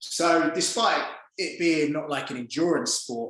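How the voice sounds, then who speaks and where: Here a man talks at a moderate pace, with audible room echo. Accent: London. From East London, England. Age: 40s. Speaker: performance coach and former judo fighter. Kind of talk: podcast interview.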